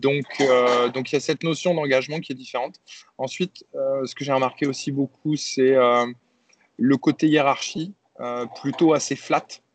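A man's fairly high voice with fairly even intonation and long, frequent pauses, in a dry, close sound with no echo. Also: fairly slow pace. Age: 40s. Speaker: tech company CEO. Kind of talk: interview. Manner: hesitant, with many repetitions and fillers.

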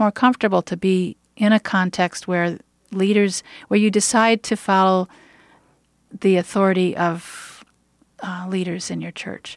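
At a moderate pace, a woman with an unremarkable speaking voice talks at medium pitch, her sound dry and close with no echo on a very clean recording with a silent background. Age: 50s. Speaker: minister. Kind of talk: radio interview.

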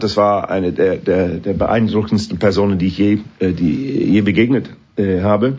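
A man talks with an English accent. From northern England. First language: English (speaking German). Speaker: orchestra conductor. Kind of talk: interview. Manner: halting.

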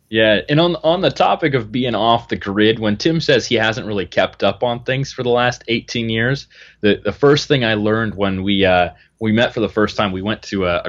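A man with a fairly low pitch and an unremarkable speaking voice. His pitch varies in an ordinary way at a moderate pace. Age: 20s. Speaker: wilderness outfitter and bushcraft instructor. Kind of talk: casual chat.

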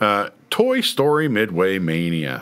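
A man speaks at a very slow pace. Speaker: podcast host. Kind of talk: casual chat. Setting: studio.

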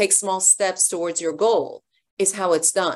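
A woman uses a normal speaking voice at a medium pitch, speaking at a fairly slow pace. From Iran, raised in US from age 11. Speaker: life and leadership coach. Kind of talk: interview conversation.

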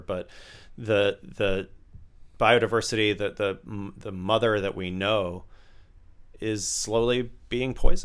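This is a man with an American accent and an ordinary speaking voice. He talks at a fairly slow pace with fairly even intonation on a very clean recording with a silent background. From US South, Tampa, Florida. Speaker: author and meditation teacher. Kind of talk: casual interview.

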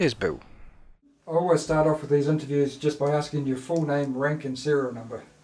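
Monotone and flat in intonation, a man with a New Zealand accent speaks at a fairly high pitch and a fairly quick pace. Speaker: podcast host. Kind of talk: scripted introduction.

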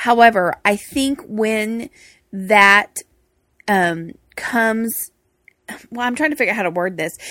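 Bright, sharp tone with a Texas accent. The pace is fairly slow, broken by long, frequent pauses. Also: woman, fairly high pitch for a woman, ordinary pitch variation, very clean recording, silent background. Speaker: co-host of marriage podcast. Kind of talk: casual conversational podcast chat.

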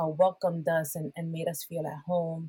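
Somewhat breathy and with a fairly low pitch, a woman speaks at a moderate pace in a Spanish accent, the sound dry and close with no echo. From Puerto Rico. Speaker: worship pastor. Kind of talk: conversational interview that turns into preaching. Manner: animated, preacher-like.

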